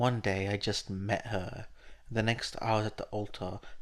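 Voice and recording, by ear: In a natural voice, someone reads a passage aloud.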